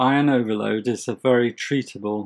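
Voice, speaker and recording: With fairly even intonation, a man speaks at a medium pitch in a plain, everyday voice. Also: quiet background. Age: 60s. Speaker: health video presenter with hemochromatosis. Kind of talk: scripted narration.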